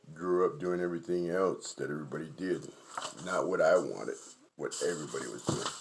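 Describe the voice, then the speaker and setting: A man at a fairly quick pace and in a relaxed tone, with noticeable background noise behind him. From Navajo Nation, New Mexico. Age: 50s. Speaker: sand artist. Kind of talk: casual demonstration livestream. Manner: relaxed, conversational.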